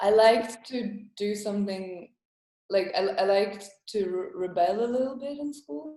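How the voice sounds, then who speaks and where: Speaking at a moderate pace, a woman at medium pitch uses lively intonation and a dark, mellow tone. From Estonia, then London from age twelve. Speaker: comedian. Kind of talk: casual interview. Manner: hesitant, many fillers.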